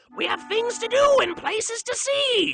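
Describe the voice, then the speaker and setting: Someone does a squeaky put-on character voice at a moderate pace. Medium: read story.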